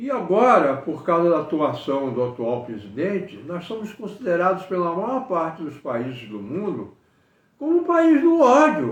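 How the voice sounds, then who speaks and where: A man speaking at a fairly slow pace. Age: 80s+. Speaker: engineer giving political commentary. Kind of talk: political monologue to camera. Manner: halting, with repetitions.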